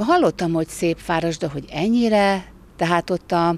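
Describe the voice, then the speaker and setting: A woman speaks with a fairly low pitch. The sound is dry, with no echo. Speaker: interviewee. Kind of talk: interview statement. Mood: cheerful, appreciative. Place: open country. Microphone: handheld.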